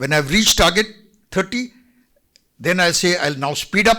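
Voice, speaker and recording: A man's high-pitched voice has a bright, sharp tone and lively intonation. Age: 70s. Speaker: retired army general. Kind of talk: motivational talk to students. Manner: animated.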